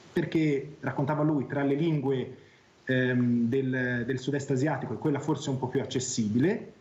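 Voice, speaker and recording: Moderately paced speech from a man with a fairly high pitch, plus audible room echo. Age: 40s. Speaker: academic guest on talk show. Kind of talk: tv talk show discussion.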